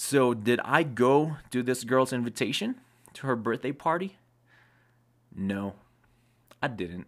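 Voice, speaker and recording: Over a very clean recording with a silent background, a man speaks at a medium pitch and fairly slow pace, with lively intonation and long, frequent pauses. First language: not English. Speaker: video creator sharing life advice. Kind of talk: personal storytelling monologue. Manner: halting, with fillers and self-corrections.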